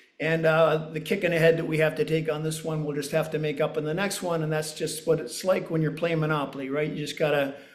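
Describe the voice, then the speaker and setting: A man at a fairly high pitch and very fast pace, with audible room echo and noticeable background noise. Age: 60s. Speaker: real estate developer. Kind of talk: interview. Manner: frequent hesitations.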